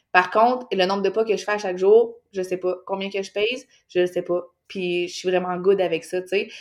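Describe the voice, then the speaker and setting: A woman speaks at a moderate pace in a medium pitch, her intonation fairly even. Her loudness swings widely. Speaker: fitness mentor, podcaster. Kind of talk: casual interview chat.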